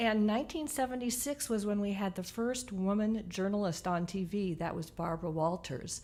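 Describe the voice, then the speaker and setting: Medium pitch for a woman, an ordinary speaking voice, lively intonation and a moderate pace. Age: 60s. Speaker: eulogy speaker, niece of the deceased. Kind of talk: eulogy at memorial service. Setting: memorial service.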